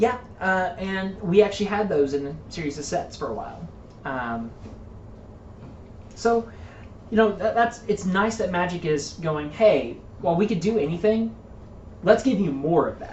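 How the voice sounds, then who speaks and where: In a room with audible echo, a woman of medium pitch speaks at a moderate pace with lively intonation, big swings in loudness, and long, frequent pauses. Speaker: tabletop card game commentator. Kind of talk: casual chat.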